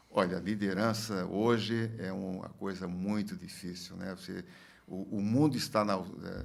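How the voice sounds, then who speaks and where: The man's fairly low voice holds a fairly even intonation but has big swings in loudness. He goes at a fairly slow pace, with audible room echo. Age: 70s. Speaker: former industry federation president, businessman. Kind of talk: podcast interview. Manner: halting, many fillers and repetitions.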